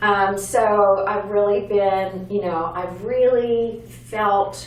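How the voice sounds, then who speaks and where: A woman with a medium pitch and fairly even intonation talks amid noticeable background noise and audible room echo. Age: 60s. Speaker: patient. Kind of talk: testimony.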